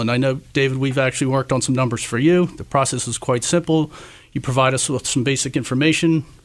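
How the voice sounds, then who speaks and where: On a very clean recording with a silent background, a plain, everyday voice talks at a fairly quick pace. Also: man. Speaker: insurance agent. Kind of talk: radio interview, business talk.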